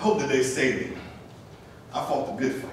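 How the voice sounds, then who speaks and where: Pitch swings very widely as a man speaks. Noticeable background noise is present. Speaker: spoken word poet. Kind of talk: spoken word poetry performance. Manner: rhythmic, preacher-like call and response.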